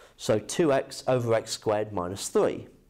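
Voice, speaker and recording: At a fairly slow pace, a man delivers his words. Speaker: maths teacher. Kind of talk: lecture. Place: classroom.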